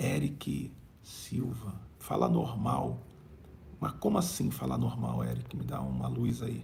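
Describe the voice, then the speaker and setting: Very slowly and with long, frequent pauses, a man speaks in a room with audible echo. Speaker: bishop and preacher. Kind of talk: live-streamed prayer meeting and preaching with chat reading. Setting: live stream.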